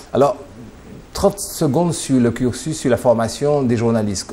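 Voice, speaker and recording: The speech moves at a moderate pace with ordinary pitch variation. Background noise is noticeable. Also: man. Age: middle-aged. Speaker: TV interviewer. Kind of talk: interview.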